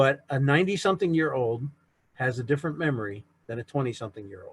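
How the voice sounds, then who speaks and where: Speaking very fast, a man with a fairly high, somewhat breathy voice uses ordinary pitch variation. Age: 60s. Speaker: author and navy veteran giving a history talk. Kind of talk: lecture. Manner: conversational.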